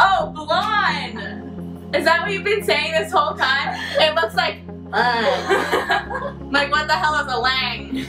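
With clear music in the background, a woman uses a raised, projected voice. Her pitch swings very widely at a fairly slow pace. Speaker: booktuber. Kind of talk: casual talk to camera. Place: home room. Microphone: camera far.

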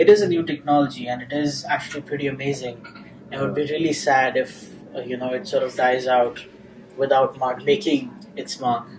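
This man's voice sits fairly high and moves at a fairly quick pace with ordinary pitch variation. Noticeable background noise runs behind him. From India. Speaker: tech journalist. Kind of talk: interview. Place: meeting room.

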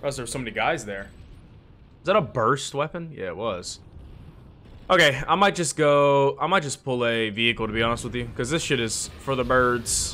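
Over light background noise, a man with a bright, sharp tone and lively intonation talks at a moderate pace, leaving long, frequent pauses. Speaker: gaming YouTuber. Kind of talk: casual gameplay commentary. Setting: home recording while playing a game. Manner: animated, excitable. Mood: frustrated, joking.

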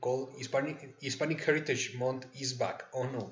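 A man's somewhat breathy voice, fairly high in pitch, with fairly even intonation at a moderate pace. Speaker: podcast host. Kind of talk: casual chat. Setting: live stream.

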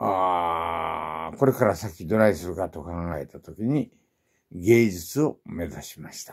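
A man speaks with a very deep, low pitch and a relaxed tone. The background is quiet. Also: ordinary pitch variation, big swings in loudness. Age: 80s+. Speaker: artist and martial arts teacher. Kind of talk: elder life story, self-introduction to viewers. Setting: home atelier, filming himself. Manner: slow, leisurely, old man's relaxed delivery with fillers; matter-of-fact, proud yet cheerful about illness and age. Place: home room. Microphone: phone near.

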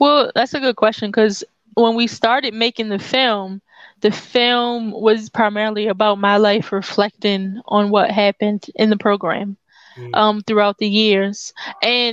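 A woman with an American accent speaks at a moderate pace and a fairly high pitch, her intonation fairly even. The sound is dry with no echo, over a quiet background. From US Mid-Atlantic. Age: 30s. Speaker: documentary filmmaker and community worker. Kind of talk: interview. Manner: halting. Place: home room. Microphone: headset.

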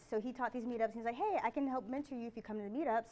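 Ordinary pitch variation runs through this woman's voice. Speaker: presenter. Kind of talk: conference talk, personal story. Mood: lighthearted, laughing. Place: hall. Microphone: podium.

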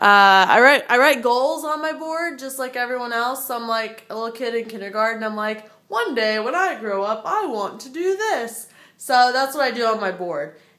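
A woman's high-pitched voice, bright and sharp in tone, at a fairly slow pace over a quiet background. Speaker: video creator. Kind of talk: casual vlog chat. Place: home room. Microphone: phone near.

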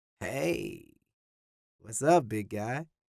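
Putting on a croaky character voice, a man speaks at a medium pitch. His tone is relaxed and his intonation lively. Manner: lazy, relaxed.

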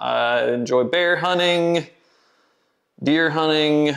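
Against a quiet background, a man speaks at a very slow pace with ordinary pitch variation. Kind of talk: casual vlog chat. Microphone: phone near.

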